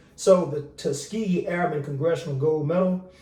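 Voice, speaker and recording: A man talks with ordinary pitch variation and a somewhat breathy voice. Audible room echo surrounds him. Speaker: military veteran, video commentator. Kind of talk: casual commentary monologue. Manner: casual, animated.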